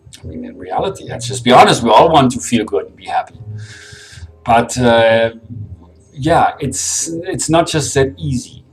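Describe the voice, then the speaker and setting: Over background music, the speaker takes long, frequent pauses, with lively intonation and big swings in loudness. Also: man, medium pitch for a man. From Germany. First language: German. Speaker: vlogger. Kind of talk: personal vlog monologue. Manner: fast, getting ahead of himself.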